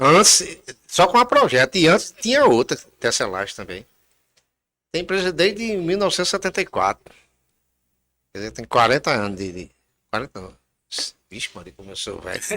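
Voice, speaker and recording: Fairly high male voice with a bright, sharp tone and vocal fry, at a moderate pace, with very wide pitch swings, big swings in loudness and long, frequent pauses, on a very clean recording with a silent background. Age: 60s. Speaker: local politician and businessman. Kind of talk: interview.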